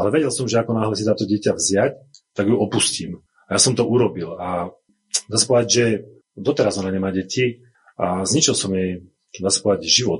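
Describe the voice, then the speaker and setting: Somewhat breathy and fairly low-pitched, a man talks at a fairly quick pace broken by long, frequent pauses. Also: ordinary pitch variation. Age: 40s. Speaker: church member giving testimony. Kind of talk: testimony.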